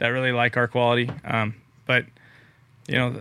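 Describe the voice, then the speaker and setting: At a fairly quick pace, a man talks in a plain, everyday voice with a medium pitch. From California Central Valley, Merced. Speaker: farmer. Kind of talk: casual chat.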